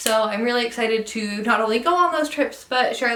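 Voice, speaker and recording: Against noticeable background noise, a woman with a western US accent speaks at a fairly high pitch with ordinary pitch variation. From Utah. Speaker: travel vlogger. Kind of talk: casual vlog monologue. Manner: casual with fillers.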